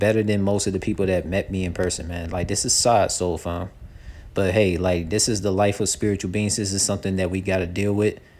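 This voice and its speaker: A man at a fairly low pitch and a fairly quick pace. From not US South. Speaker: spiritual content creator. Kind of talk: monologue, spiritual talk to camera. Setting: outdoors, video recording. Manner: animated, excitable.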